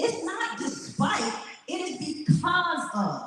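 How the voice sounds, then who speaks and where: A loud woman speaks very slowly with an American accent, her pitch swinging very widely. Audible echo from the room surrounds her voice. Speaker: motivational speaker. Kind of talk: motivational speech. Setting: stage with audience. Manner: animated.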